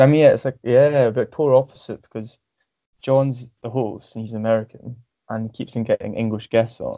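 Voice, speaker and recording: With a Scottish accent, a man speaks fairly quickly at a medium pitch in a dark, mellow tone, keeping his intonation fairly even while his loudness swings widely. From Scotland, Stirling. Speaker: forum member, podcast host. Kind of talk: casual chat. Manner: halting, many fillers.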